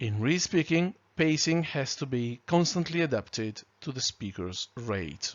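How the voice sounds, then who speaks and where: A man's medium-pitched voice with a non-native accent, very wide pitch swings, a fairly slow pace and hardly any pauses. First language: not English. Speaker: trainer. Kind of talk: lecture. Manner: clear, carefully articulated.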